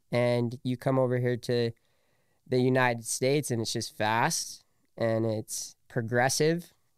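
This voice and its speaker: A man speaks at a medium pitch and a fairly slow pace in a plain, everyday voice, his intonation fairly even. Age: 20s. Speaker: entrepreneur. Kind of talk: casual chat.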